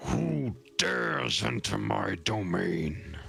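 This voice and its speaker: A man's put-on character voice, raspy and booming, very deep and low in pitch, at a very slow pace, with clear background noise. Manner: commanding, imposing.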